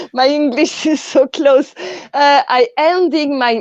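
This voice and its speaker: With a French accent, a woman speaks at a very slow pace with lively intonation. The sound is dry and close with no echo, and the background is quiet. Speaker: artist. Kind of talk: panel discussion.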